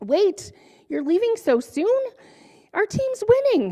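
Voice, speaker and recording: A woman does a put-on character voice that is squeaky and extremely high in pitch. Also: fairly slow pace. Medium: read story. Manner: loud, enthusiastic.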